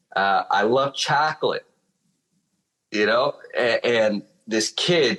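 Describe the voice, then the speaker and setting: A man speaks with a Chicago accent. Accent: Chicago accent, sounds almost Italian. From Chicago, US. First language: Spanish. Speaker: drummer. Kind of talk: casual chat.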